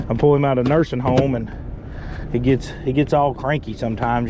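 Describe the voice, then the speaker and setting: A man talks at a very fast pace with fairly even intonation. Noticeable background noise is present. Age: 30s. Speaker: fishing video host. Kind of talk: casual vlog commentary. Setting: outdoors on a boat. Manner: casual, repetitive.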